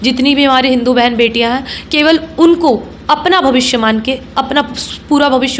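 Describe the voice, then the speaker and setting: A high-pitched woman's voice with ordinary pitch variation, over noticeable background noise. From Jamui, Bihar, India. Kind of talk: interview answer.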